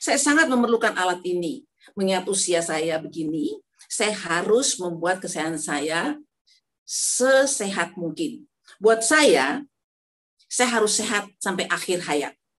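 Her medium-pitched voice swings very widely in pitch as the woman talks at a fairly slow pace. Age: 70s. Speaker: elderly product user giving testimonial. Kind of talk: testimony. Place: home room. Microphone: phone near.

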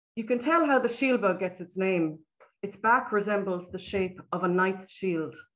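Speaking at a moderate pace, a woman with an Irish accent uses a soothing tone. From Ireland. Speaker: nature photographer. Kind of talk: presentation. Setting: video call. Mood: warm, admiring. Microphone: webcam.

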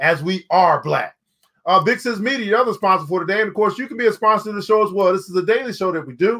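High-pitched male voice with a bright, sharp tone at a fairly quick pace. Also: ordinary pitch variation.

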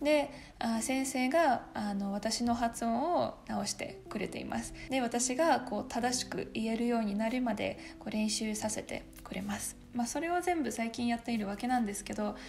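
Speaking at a moderate pace with hardly any pauses, a woman with a Russian accent and a fairly high pitch shows ordinary pitch variation over light background noise. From Russia, small town. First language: Russian (speaking Japanese). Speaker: YouTuber, university student; YouTuber. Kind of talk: casual Q&A vlog. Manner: casual, chatty. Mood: warm, relaxed. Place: home room.

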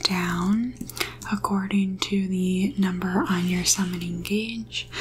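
A soft-spoken woman at a very slow pace, with fairly even intonation and light background noise. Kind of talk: tutorial. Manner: soft-spoken close-mic ASMR voice. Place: home room. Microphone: studio mic.

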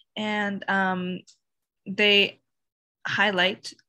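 A woman with a Canadian accent speaks in a bright, sharp tone with fairly even intonation against a quiet background. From Sudbury, Ontario, Canada; Ontario. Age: 20s. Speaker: university student; interviewee. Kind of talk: interview. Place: home room. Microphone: webcam.

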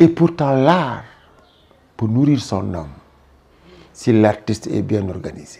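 The voice moves at a very slow pace, with long, frequent pauses and very wide swings in pitch. Loudness rises and falls a lot, and the sound is somewhat breathy. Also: man. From Senegal, Thiès; Senegal. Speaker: actor and retired teacher; actor. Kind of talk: interview. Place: home room. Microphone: lapel.

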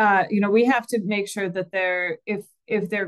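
The speaker has an American accent and fairly even intonation. The pace is moderate, and the background is quiet. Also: woman. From US Midwest. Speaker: utility commissioner moderating a webinar. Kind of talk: webinar moderation. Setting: video call. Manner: halting, many fillers. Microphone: video call.

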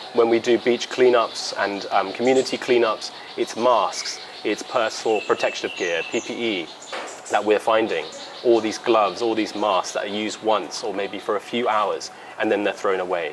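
Noticeable background noise surrounds a man's voice. He keeps a moderate pace and fairly even intonation. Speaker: interviewee. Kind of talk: interview answer. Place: garden. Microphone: lapel.

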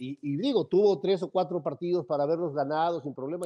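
Speaking at a very fast pace, a man with a Mexican accent has a high pitch and a dark, mellow tone. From Mexico. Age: 60s. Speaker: football pundit. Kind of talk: heated sports debate. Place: home room. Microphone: earbuds.

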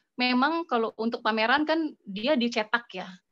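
Faint music plays in the background. A woman speaks at high pitch and a moderate pace with ordinary pitch variation. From Bandung, West Java, Indonesia; West Java, Indonesia. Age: 40s. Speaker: food photographer. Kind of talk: online class presentation. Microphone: phone; video call.

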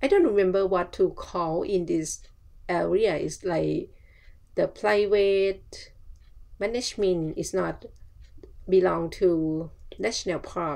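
A woman with a Thai accent, at a very slow pace with long, frequent pauses. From Thailand. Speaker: travel vlogger. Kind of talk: casual vlog narration.

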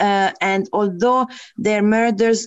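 A woman with an unremarkable speaking voice, fairly high pitch, ordinary pitch variation and a moderate pace. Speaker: university lecturer and programme leader. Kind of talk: lecture. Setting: video call.

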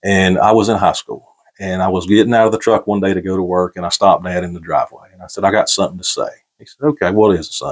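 Against a quiet background, a man with a North Carolina accent talks at a very fast pace in a fairly low pitch, with fairly even intonation and big swings in loudness. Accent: Southern US (North Carolina). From US South, Gaston County, North Carolina. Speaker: podcast guest. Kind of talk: casual chat. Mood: warm, reflective storytelling. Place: home room. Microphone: lapel.

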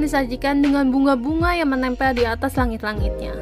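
Clear music plays in the background behind a woman. She speaks at a high pitch with ordinary pitch variation. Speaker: travel vlogger narrating. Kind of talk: travel vlog narration.

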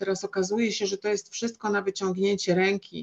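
A woman's voice against a quiet background. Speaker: seminar panelist from business; panelist. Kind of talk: panel discussion. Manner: hesitant, many fillers. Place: home room. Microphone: video call.

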